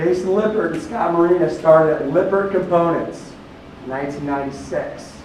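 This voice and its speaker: Loud and at a fairly quick pace, a man speaks at a high pitch with ordinary pitch variation amid noticeable background noise. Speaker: company recruiter. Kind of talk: recruiting seminar talk.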